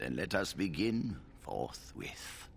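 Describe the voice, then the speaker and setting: In a put-on character voice, a man speaks very deep and low. His pitch swings very widely over clear background noise. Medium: video game. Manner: formal, measured.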